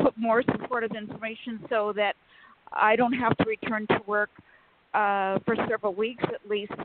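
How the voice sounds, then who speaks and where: A woman in a normal speaking voice talks at a moderate pace, her pitch fairly high and her intonation fairly even. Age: 60s. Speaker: caller. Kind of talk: call-in question. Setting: phone call.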